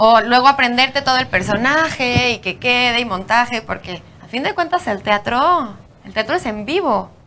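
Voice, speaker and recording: With a Mexican accent, the speaker has a bright, sharp tone and lively intonation at a moderate pace. Loudness swings widely throughout. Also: woman, high pitch for a woman. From Mexico. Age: young. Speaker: podcast host. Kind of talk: casual chat; show intro and outro.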